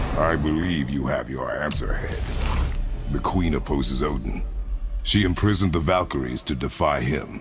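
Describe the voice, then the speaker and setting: A man's cartoonish character voice at a moderate pace, over loud background noise. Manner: terse, gruff.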